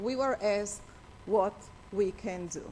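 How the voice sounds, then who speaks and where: At a moderate pace, a woman talks with an Israeli accent. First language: Hebrew. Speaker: attorney, organization head. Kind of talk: conference speech. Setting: conference stage with audience. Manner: halting.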